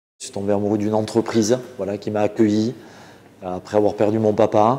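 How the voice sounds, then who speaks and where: A man talks at a fairly quick pace in a dark, mellow tone, his intonation monotone and flat while his loudness swings widely. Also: fairly low pitch for a man. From French Basque Country. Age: 40s. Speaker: butcher and caterer. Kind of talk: interview answer. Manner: hesitant, casual. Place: kitchen. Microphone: lapel.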